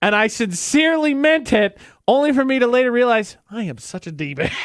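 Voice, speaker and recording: A man with an American accent talks at a fairly quick pace. His pitch is extremely high and swings very widely. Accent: Utah pronunciation of milk. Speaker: radio host. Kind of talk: casual chat.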